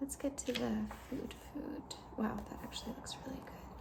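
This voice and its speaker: Soft-spoken and relaxed in tone, the voice comes through over noticeable background noise. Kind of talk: ASMR cookbook flip-through, soft-spoken talk to camera. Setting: lo-fi home recording. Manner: soft-spoken, quiet, relaxed.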